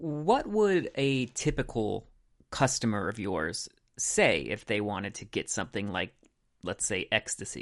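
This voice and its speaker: A man with a normal speaking voice, fairly slow pace and lively intonation against a quiet background. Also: medium pitch for a man. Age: 30s. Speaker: comedy podcast host. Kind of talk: comedic mock interview. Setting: on location at a school.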